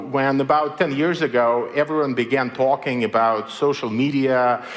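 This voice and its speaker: Noticeable background noise sits behind a man speaking at a moderate pace and a medium pitch. His loudness stays very even and his intonation fairly even. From Belarus. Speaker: writer and technology critic. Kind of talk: public lecture. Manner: many filler words (uh, um).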